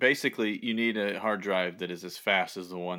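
On a very clean recording with a silent background, a man with a slight Southern US accent speaks at a moderate pace with fairly even intonation. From US South. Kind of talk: casual chat.

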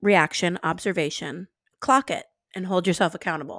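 A woman speaks at a moderate pace. The recording is very clean with a silent background, and the sound is dry and close with no echo. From US South, New Orleans. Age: 20s. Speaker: podcast co-host. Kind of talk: casual chat. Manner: animated.

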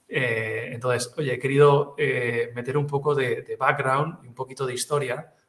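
A man with a Catalan accent speaks at a fairly slow pace with fairly even intonation. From Catalonia. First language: Catalan (speaking Spanish). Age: 40s. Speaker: retail expert. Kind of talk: interview. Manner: halting, many repetitions.

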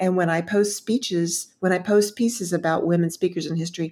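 The speaker has a plain, everyday voice with an American accent. The pace is fairly quick. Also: woman. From Texas, Dallas. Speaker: speechwriter and public speaking consultant. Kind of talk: interview conversation.

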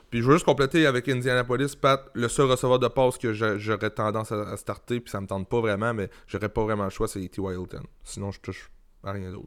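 A man's medium-pitched voice with big swings in loudness, a fairly quick pace and ordinary pitch variation, in a very clean recording with a silent background. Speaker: fantasy football podcast co-host. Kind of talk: casual chat. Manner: halting, many fillers.

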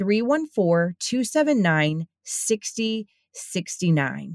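Intonation is lively in an unremarkable speaking voice. The sound is dry and close, with no echo. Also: woman. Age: 40s. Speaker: podcast host. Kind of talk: read-out ad; casual chat.

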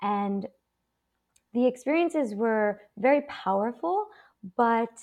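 Against a quiet background, a woman with a fairly high voice makes very wide pitch swings. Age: 30s. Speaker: psychotherapist. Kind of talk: interview.

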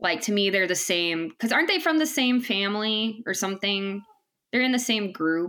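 A woman's plain, everyday voice at medium pitch, with lively intonation, very even loudness and a moderate pace. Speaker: podcast host. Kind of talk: casual chat.

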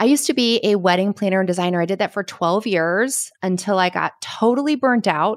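A woman with an American accent speaks at a fairly quick pace in a medium pitch with ordinary pitch variation, an unremarkable speaking voice. The recording is very clean with a silent background and a dry, close sound with no echo. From Connecticut, US. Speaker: business coach for wedding professionals. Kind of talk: casual interview chat.

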